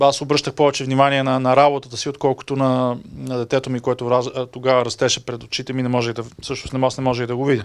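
A man's very fast, flat, monotone delivery with hardly any pauses, over a quiet background. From Bulgaria. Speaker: EU official, media development expert; guest. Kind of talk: talk to an audience. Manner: hesitant, many filler sounds. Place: meeting room. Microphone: handheld.

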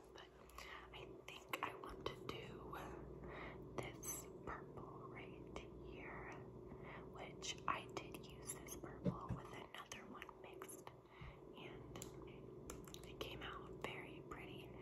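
Loud background noise surrounds a woman who speaks at a very slow pace with long, frequent pauses. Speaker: ASMR content creator. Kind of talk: ASMR personal attention role play. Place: kitchen. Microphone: phone near.

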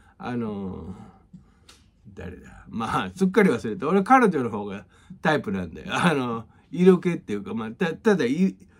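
A man at medium pitch with very wide pitch swings, moderate pace, and a quiet background. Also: big swings in loudness. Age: 50s. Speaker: music teacher. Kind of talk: casual monologue and music tutorial. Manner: casual, rambling with many fillers. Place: home room.

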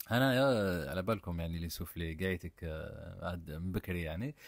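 Delivered at a fairly quick pace with lively intonation, the voice comes through a very clean recording against a silent background. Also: man. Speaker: cooking channel host. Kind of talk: cooking tutorial. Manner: casual, conversational.

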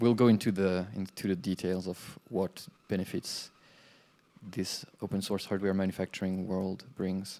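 A man's very deep, low voice in a French accent, dark and mellow in tone, monotone and flat, at a fairly slow pace. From France. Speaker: conference speaker, game developer and hardware entrepreneur; conference presenter. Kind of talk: conference talk. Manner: halting. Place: classroom.

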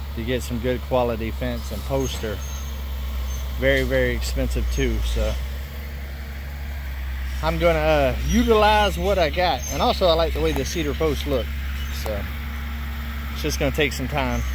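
With noticeable background noise but a dry sound and no echo, a man speaks at a moderate pace in a very deep, low, monotone voice with flat intonation and long, frequent pauses. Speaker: homesteader vlogger. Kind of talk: casual vlog chat. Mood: relaxed, plain-spoken. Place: forest. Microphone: phone near.

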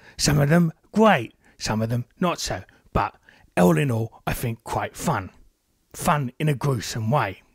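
A man adopts a put-on character voice and talks at a fairly slow pace. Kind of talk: casual podcast review. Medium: talk show. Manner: chatty, jokey, rambling.

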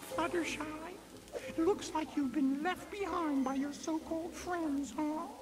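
The speaker puts on a character voice pitched high and moves at a fairly slow pace. Background noise is clearly audible. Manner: soft-spoken, shy.

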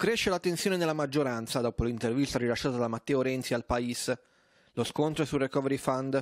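Male voice, a normal speaking voice at medium pitch with ordinary pitch variation, very even loudness, fairly quick pace, dry and close with no echo, very clean recording with a silent background. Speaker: news anchor. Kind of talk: news reading. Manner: formal, even-paced newsreader delivery.

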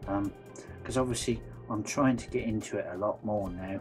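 With clear music in the background, a man in a West Country accent speaks at a fairly low pitch and a moderate pace. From West Country, England. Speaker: vlogger. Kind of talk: casual vlog talk to camera. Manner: hesitant, many fillers. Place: home room. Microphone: phone near.

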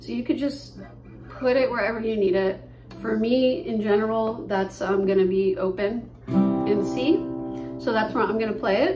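A woman speaks with long, frequent pauses while faint music plays in the background. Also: moderate pace. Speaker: guitar teacher. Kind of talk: tutorial. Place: kitchen. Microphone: phone near.

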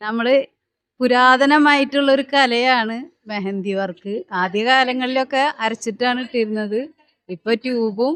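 High female pitch with ordinary variation in pitch. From Kerala, Thrissur. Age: 50s. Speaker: mehndi competition participant. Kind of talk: news interview.

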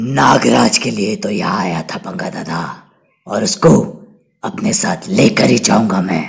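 In a raspy, cartoonish character voice, a man speaks at a moderate pace. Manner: arrogant, confident.

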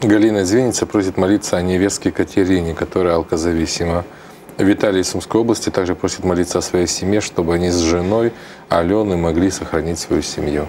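A man talks fairly quickly in a very deep, low voice at very even loudness. Light background noise is present. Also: fairly even intonation. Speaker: TV prayer program co-host; TV prayer program host. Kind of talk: live religious broadcast, reading prayer requests. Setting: TV studio, live broadcast. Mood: calm, earnest, prayerful. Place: studio. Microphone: lapel.

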